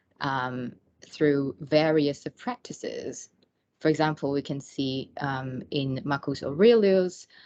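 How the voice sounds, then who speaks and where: Speaking at a very slow pace in a non-native accent, a woman has a very deep, low pitch, a dark, mellow tone and ordinary pitch variation. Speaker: academic researcher. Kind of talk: lecture. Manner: halting, many fillers.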